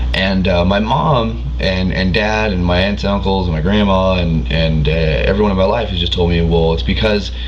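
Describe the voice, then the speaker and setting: A man with an American accent and a very deep, low pitch talks at a fairly quick pace with lively intonation, amid noticeable background noise and audible room echo. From California. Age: 20s. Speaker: vlogger. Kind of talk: casual chat. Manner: halting, many fillers.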